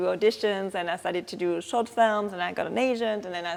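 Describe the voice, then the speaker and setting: This woman talks at a fairly quick pace. Her pitch sits in the medium range, and her intonation stays fairly even. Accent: French. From France, Strasbourg (Alsace). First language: French. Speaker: actress. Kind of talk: interview. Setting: film festival. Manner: halting.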